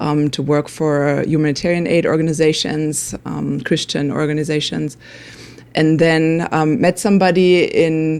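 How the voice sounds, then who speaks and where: Fairly even intonation in a German accent. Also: woman, very deep, low pitch for a woman, moderate pace. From Germany. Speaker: nonprofit worker. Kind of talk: interview.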